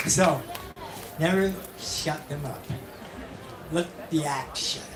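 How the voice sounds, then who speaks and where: The speech is very slow, with noticeable background noise behind it. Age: 70s. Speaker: poet and performer.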